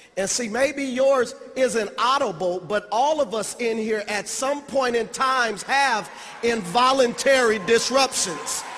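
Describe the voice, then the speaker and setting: Speaking at a fairly slow pace with hardly any pauses, a man uses an extremely high-pitched voice amid audible room echo. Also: ordinary pitch variation. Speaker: motivational speaker. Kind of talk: motivational speech. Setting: stage with audience.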